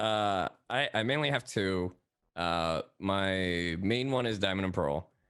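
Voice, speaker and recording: Speaking very slowly with a Spanish accent, a man with a fairly low pitch keeps very even loudness and ordinary pitch variation in a very clean recording with a silent background. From Ecuador. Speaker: voice actor. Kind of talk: casual chat.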